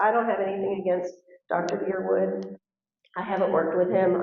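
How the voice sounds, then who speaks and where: Audible room echo carries the voice of a woman with an American accent. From Texas. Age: 60s. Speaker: school board candidate. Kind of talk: candidate forum answer. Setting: high school forum with audience.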